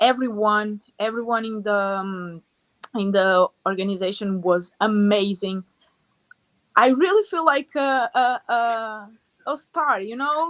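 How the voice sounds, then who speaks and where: The pace is very slow, with a dry, close sound and no echo. A woman talks at a fairly high pitch. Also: lively intonation. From Portugal. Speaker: taekwondo fighter. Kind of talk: interview. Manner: animated.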